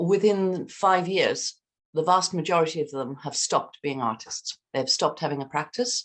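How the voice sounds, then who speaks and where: Lively intonation and a moderate pace in a normal speaking voice. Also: woman. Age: 60s. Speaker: artist. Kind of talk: casual discussion.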